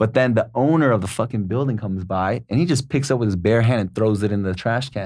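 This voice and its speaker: On a very clean recording with a silent background, a man with a Californian accent talks at a fairly quick pace, fairly low in pitch with lively intonation. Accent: Californian American English. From US West Coast, San Diego. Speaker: guest. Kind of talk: casual chat.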